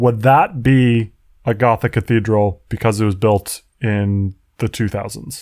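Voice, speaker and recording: A normal speaking voice at a fairly slow pace, fairly even intonation, and a dry, close sound with no echo. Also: man, very clean recording, silent background. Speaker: podcast host. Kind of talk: casual chat.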